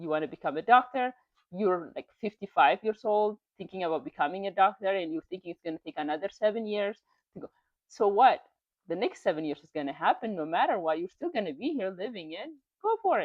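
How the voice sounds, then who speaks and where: Speaking very fast with a non-native accent, a woman uses an animated tone at a medium pitch, her loudness swinging widely. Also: lively intonation. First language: not English. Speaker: YouTuber reading and commenting on online stories. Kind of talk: casual motivational commentary.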